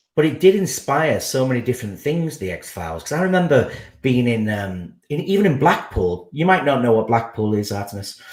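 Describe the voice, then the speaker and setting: A somewhat breathy man talks at a fairly quick pace with hardly any pauses, his medium pitch swinging very widely. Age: 40s. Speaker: podcast guest. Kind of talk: casual chat. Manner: halting.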